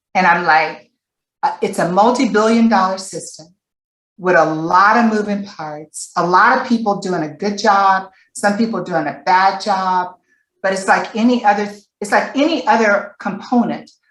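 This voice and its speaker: An ordinary speaking voice from a woman, moderate in pace and medium in pitch, with ordinary pitch variation. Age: 60s. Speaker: panelist, former foster youth. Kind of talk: webinar panel discussion.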